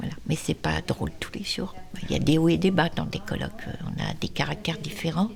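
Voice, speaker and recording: Background music beneath a woman's moderately paced voice. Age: 60s. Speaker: charity volunteer. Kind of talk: documentary interview.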